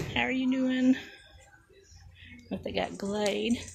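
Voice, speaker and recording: A woman with a Southern US accent, music in the background. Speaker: crafting vlogger. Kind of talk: casual walk-around vlog. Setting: in a store.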